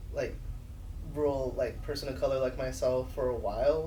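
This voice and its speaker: Noticeable background noise and audible room echo surround this man as he talks. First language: Spanish. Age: 30s. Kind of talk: casual chat. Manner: animated.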